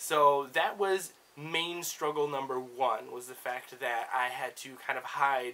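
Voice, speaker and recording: Noticeable background noise sits behind the voice. A man speaks with fairly even intonation. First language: Spanish. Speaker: book vlogger. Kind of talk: casual personal discussion to camera. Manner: casual with many fillers and hedges.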